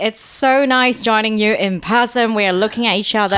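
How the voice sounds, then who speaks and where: This woman speaks at a moderate pace in a British accent. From Hong Kong. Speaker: podcast guest.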